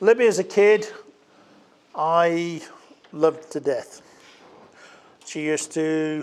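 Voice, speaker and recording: A man is speaking. His pitch is high for a man. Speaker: wedding speech giver, bride's uncle. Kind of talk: wedding speech. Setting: wedding reception with audience. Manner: loud. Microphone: speaking without microphone.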